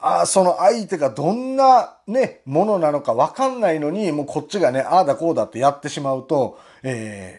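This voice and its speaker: A man talks at a fairly quick pace with a Kansai accent and a fairly high pitch. His voice has very wide pitch swings against a quiet background. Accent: Kansai Japanese. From Japan. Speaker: political commentary YouTuber and butcher; online commentator. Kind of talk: monologue commentary. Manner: frequent fillers, rhetorical tags. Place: home room.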